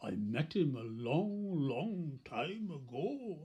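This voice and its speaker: Using a put-on character voice, a man speaks very slowly at a fairly high pitch. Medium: read story.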